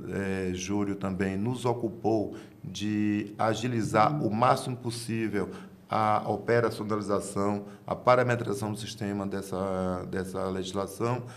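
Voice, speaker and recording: A man with a Bahian accent, fairly slow and fairly even in intonation, with audible room echo. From Bahia, Brazil. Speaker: tax auditor. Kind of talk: interview answer. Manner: halting, formal.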